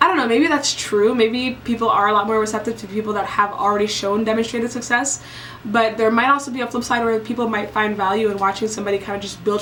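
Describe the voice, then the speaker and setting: A woman with a fairly high pitch talks at a very fast pace and fairly even intonation over noticeable background noise. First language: French and Basa. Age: 20s. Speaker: vlogger. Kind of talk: casual vlog monologue.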